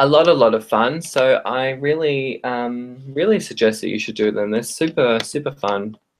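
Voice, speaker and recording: A man with an Australian accent, medium pitch, ordinary pitch variation, a moderate pace and hardly any pauses. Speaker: tarot reader. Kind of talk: live stream tarot readings. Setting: live stream. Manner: hesitant, many fillers.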